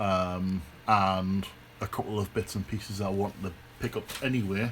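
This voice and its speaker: The man's pitch is fairly low. His intonation stays monotone and flat. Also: moderate pace. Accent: British. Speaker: electronics hobbyist. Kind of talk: casual talk to camera. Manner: hesitant, many fillers.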